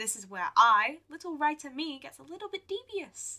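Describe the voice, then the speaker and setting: Raising and projecting her voice, a woman speaks at a high pitch and moderate pace with a bright, sharp tone. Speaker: gaming YouTuber. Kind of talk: gameplay commentary. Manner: casual, some hesitations.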